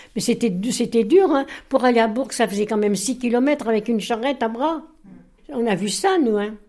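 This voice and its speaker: The tone is dark and mellow, delivered at a moderate pace with ordinary pitch variation. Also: woman, fairly high pitch for a woman. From France, Bresse (Viriat, Ain). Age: 80s+. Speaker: centenarian, army officer's widow. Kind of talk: interview. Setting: home kitchen.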